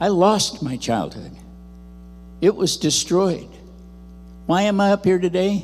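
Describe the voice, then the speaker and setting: A man with an American accent, high-pitched, at a fairly slow pace with ordinary pitch variation and long, frequent pauses. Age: 80s+. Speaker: speaker sharing personal testimony. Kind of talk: testimony. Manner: animated.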